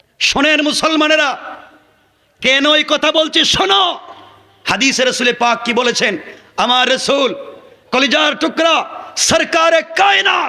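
An extremely high-pitched man projects a raised voice with an animated tone. His loudness stays very even while his pitch varies in an ordinary way. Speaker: Islamic preacher. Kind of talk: sermon. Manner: animated, addresses crowd with questions.

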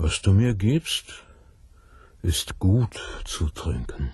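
A man's put-on character voice, low and husky with a rough edge, slightly mellow in tone, very slow, with big pitch swings

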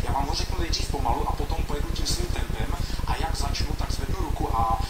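A man speaks at a very fast pace. Loud background noise is present. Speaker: joke teller on talent show. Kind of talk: talent show audition, talk to jury. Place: stage.

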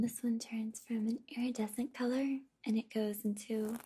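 Over light background noise, a soft-spoken woman talks at a fairly slow pace with a fairly high pitch and monotone, flat intonation. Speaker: ASMR creator. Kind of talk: ASMR sleep video.

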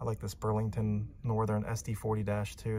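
A man speaks with a fairly low pitch and a dark, mellow tone, somewhat breathy. There is light background noise. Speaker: hobby channel host. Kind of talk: casual vlog commentary. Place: shop. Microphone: phone near.

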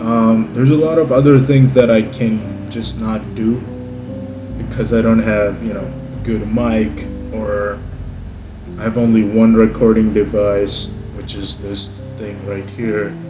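Faint music plays in the background as a man speaks at a fairly slow pace with ordinary pitch variation, big swings in loudness and long, frequent pauses. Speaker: hobby painting vlogger. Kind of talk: casual vlog chat. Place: home room. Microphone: phone near.

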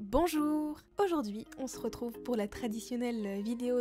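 A woman's cheerful, high-pitched voice with lively intonation at a very slow pace, with music in the background. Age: young. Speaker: donkey owner and rider. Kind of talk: casual voice-over product review. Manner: cheerful, chatty.

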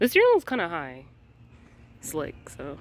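Her pitch swings very widely. The woman speaks fairly slowly with a low voice.

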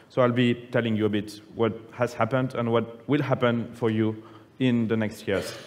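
In a French accent, a man speaks at a moderate pace with monotone, flat intonation and very even loudness. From France (Nice); France. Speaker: public affairs manager presenting policy; conference presenter. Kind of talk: conference presentation. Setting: conference plenary room with audience. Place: hall.

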